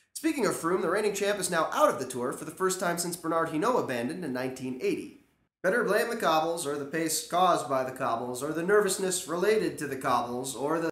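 Audible room echo surrounds a man talking at a fairly quick pace with hardly any pauses over a quiet background. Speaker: cycling news vlogger. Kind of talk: commentary. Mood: wry, sarcastic humor. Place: home room. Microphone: camera far.

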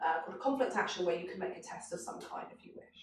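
A woman talks at a very fast pace with a fairly low pitch and lively intonation. Room echo is audible.

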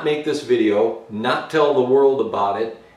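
Noticeable room echo surrounds the man as he talks. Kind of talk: casual vlog chat. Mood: earnest, reflective. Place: garage.

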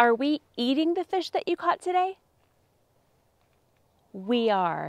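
A woman speaks slowly in a put-on character voice, pitched fairly high with big swings, and the sound is dry and close with no echo.

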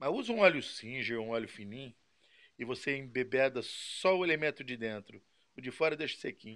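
At a fairly quick pace, a man with a medium-pitched voice and ordinary pitch variation speaks with big swings in loudness. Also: quiet background. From Brazil. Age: 60s. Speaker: model engine mechanic. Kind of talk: casual video talk answering viewers. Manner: halting, repeats words. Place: workshop.

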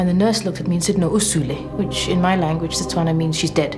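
A woman speaks over clear background music. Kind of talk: interview answer. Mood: earnest, emotional recollection. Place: office. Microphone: lapel.

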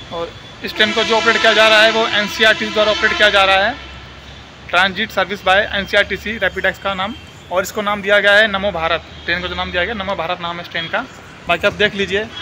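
Over noticeable background noise, a man talks in a raised, projected voice at a fairly quick pace. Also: ordinary pitch variation. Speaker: travel vlogger. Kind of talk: casual vlog chat. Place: station. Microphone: earbuds.

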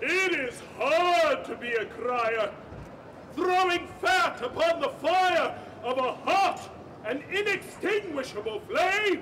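Very slow speech from a man, extremely high in pitch for a man, with very wide pitch swings over light background noise. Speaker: town crier. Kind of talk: town crier proclamation in rhyme. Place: stage. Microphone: camera far.

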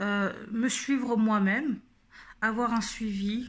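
Very slow, somewhat breathy speech with fairly even intonation. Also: woman. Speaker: YouTube vlogger. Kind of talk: casual vlog monologue. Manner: halting, many fillers.

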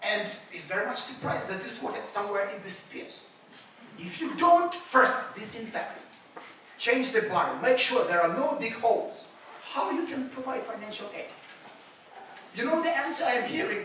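Amid light background noise and audible room echo, a woman with a high pitch uses lively intonation, big swings in loudness, and long, frequent pauses. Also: moderate pace. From Ukraine. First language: Ukrainian or Russian. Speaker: civil society activist and former government official. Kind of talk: panel discussion. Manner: animated. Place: hall. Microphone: camera far.

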